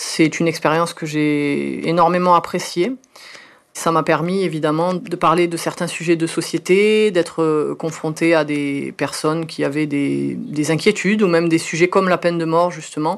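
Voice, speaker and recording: Fairly even intonation runs through this woman's speech. She has a fairly low pitch and keeps a moderate pace. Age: 30s. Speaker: mother telling her love story. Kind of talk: personal testimony. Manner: hesitant, with frequent fillers.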